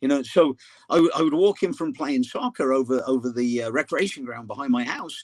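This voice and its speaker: A man with an English accent at a fairly quick pace, fairly high in pitch, in a dry, close sound with no echo. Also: ordinary pitch variation. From England. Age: 60s. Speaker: soccer coach. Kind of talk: casual interview.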